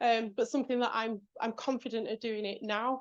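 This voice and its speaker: A woman with a British accent talks at a fairly quick pace with fairly even intonation. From England. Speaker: executive speaker. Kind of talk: talk with audience Q&A.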